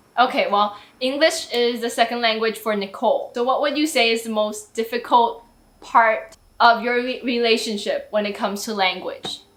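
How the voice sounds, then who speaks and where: Moderate pace from a woman with a Mandarin accent, fairly high pitch and fairly even intonation. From Taiwan. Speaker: YouTuber. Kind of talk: casual chat.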